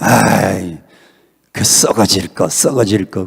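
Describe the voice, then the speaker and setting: In a put-on character voice, a man speaks with very deep, low pitch and a raspy sound. His pace is very slow. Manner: exclamatory, drawn-out.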